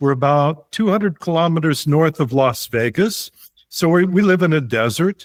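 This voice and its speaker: This man has a plain, everyday voice at a fairly high pitch and a moderate pace. The sound is dry and close with no echo, in a very clean recording with a silent background. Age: 60s. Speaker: retired traveler. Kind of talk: podcast interview.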